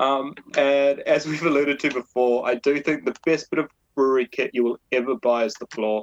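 This man has a New Zealand accent, a fairly high pitch and fairly even intonation at a moderate pace. The sound is dry and close, with no echo. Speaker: brewer, brewery co-founder. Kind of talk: interview.

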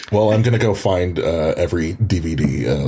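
A man with a Canadian accent speaks in a very deep, low voice with lively intonation over noticeable background noise. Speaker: actor and writer. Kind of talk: casual chat.

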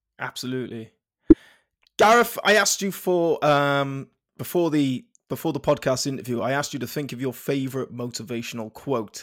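A man with a South Welsh accent talks at a fairly quick pace and fairly high pitch, his intonation lively. The recording is very clean, with a silent background. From South Wales (Penarth). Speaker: podcast host, fitness company founder. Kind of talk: interview.

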